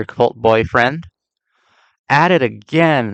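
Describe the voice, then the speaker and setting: This man talks at a very slow pace with lively intonation. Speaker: film commentary youtuber. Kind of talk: casual monologue. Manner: slurred words; animated.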